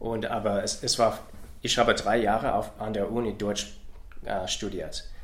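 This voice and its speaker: Audible room echo surrounds this man's voice. He speaks at a fairly slow pace. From US Midwest, Ohio. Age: 40s. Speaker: soldier. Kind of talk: interview in a learned language. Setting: in person. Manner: halting, many hesitations.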